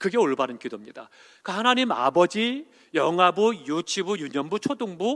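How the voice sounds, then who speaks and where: A man's bright, sharp voice at a moderate pace, with very wide pitch swings, a quiet background, and a dry, close sound with no echo. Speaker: senior pastor. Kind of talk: sermon.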